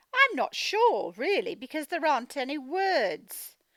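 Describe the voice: A woman's high voice in a fairly bright tone at a fairly slow pace, with a dry, close sound and no echo.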